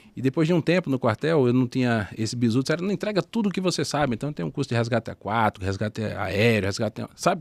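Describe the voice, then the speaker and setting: A man with a northeastern Brazilian accent at medium pitch, very wide pitch swings, a very fast pace and hardly any pauses, in a dry, close sound with no echo and a very clean recording over a silent background. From Northeast Brazil. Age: 40s. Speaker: former army sergeant and entrepreneur. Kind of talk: podcast interview.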